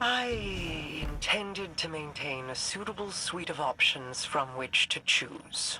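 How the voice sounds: A woman's put-on character voice, low in pitch with a bright, sharp tone, lively intonation and a slow pace, over faint background noise.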